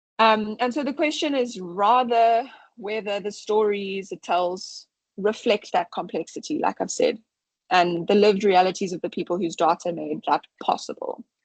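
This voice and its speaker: A woman with lively intonation against a quiet background, in a dry, close sound with no echo. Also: medium pitch for a woman, moderate pace. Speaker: science communicator. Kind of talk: webinar talk. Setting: online webinar.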